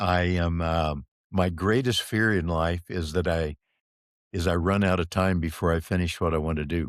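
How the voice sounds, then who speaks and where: On a very clean recording with a silent background, a man with a very deep, low pitch speaks at a moderate pace, keeping fairly even intonation and very even loudness. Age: 70s. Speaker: business leader, podcast guest. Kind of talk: casual chat.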